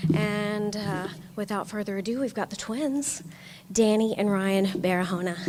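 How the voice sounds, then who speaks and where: Noticeable background noise runs behind a woman speaking at a moderate pace. Her pitch sits in the middle range with ordinary variation. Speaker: professor. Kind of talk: award presentation speech.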